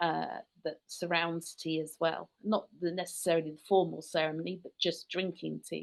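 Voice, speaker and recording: This woman's speech moves at a moderate pace. She talks in a British accent. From rural England, UK. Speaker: tour company founder. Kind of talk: podcast interview.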